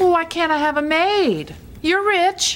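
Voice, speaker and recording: A woman uses a squeaky, put-on character voice at an extremely high pitch. She speaks at a fairly slow pace. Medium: game stream. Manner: dry, sardonic.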